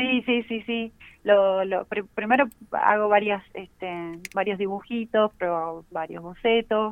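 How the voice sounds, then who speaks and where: Very slowly, a woman talks at a medium pitch, her intonation fairly level. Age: 30s. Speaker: illustrator and teacher. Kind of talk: casual interview.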